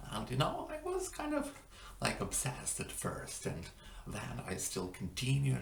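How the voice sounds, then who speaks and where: Fairly slow speech from a man, amid noticeable background noise and audible room echo. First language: not English. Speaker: language-learning vlogger. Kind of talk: casual vlog monologue. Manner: halting, many fillers.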